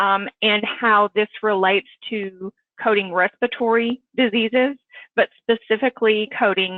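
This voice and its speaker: In an unremarkable speaking voice, a woman talks at a fairly slow pace with a fairly high pitch and fairly even intonation. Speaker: clinical coding manager, presenter. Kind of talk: webinar presentation.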